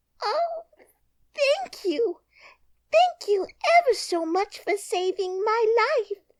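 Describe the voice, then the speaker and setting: In a put-on character voice, a woman speaks very slowly with long, frequent pauses in a squeaky, extremely high pitch. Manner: grateful.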